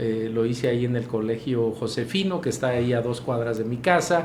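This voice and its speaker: Medium pitch from a man, ordinary pitch variation, noticeable background noise and audible room echo. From Mexico, Michoacán (Pátzcuaro). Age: 60s. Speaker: mayor. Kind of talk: interview. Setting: studio, live broadcast. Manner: halting with fillers.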